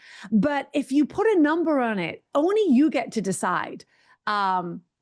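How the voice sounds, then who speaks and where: A woman keeps a moderate pace while her pitch moves in very wide swings. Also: quiet background. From England. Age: 60s. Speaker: author and mindset coach. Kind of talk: interview conversation.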